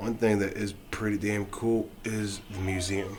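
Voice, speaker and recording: A man talks with a fairly low pitch. Audible room echo surrounds his voice. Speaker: game reviewer and rapper. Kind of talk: casual video review. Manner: halting.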